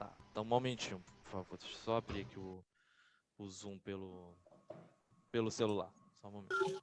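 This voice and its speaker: Pausing long and often, a man speaks at a moderate pace and fairly low pitch, with fairly even intonation and big swings in loudness. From Bahia, Brazil. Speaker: lawyer, legislative attorney. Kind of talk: online lecture. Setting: video call. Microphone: faulty mic, sound too quiet.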